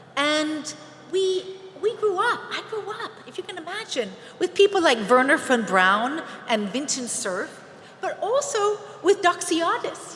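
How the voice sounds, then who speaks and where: Speaking with an American accent, a woman uses an extremely high pitch with very wide pitch swings and big swings in loudness. She talks at a fairly slow pace over noticeable background noise. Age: 60s. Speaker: space entrepreneur. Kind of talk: conference speech.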